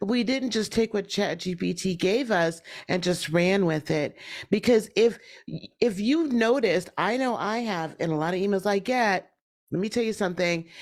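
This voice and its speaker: At a moderate pace, a woman with a plain, everyday voice and medium pitch uses ordinary pitch variation on a very clean recording with a silent background. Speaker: summit speaker on AI for business. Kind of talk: presentation.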